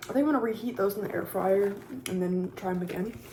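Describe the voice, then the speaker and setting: A woman speaks at a medium pitch. Noticeable background noise runs beneath her. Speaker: YouTuber. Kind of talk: casual mukbang talk to camera. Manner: soft-spoken.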